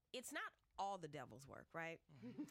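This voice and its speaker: An animated woman with an American accent, talking at a very fast pace. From US South, New Orleans. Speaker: YouTube talk show host and educator. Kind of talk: casual chat. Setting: radio studio.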